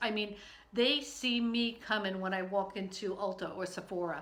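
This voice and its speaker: Amid noticeable background noise and audible room echo, a woman speaks at a moderate pace with a medium pitch. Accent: American. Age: 60s. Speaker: online video host. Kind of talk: casual vlog. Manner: hesitant, many fillers.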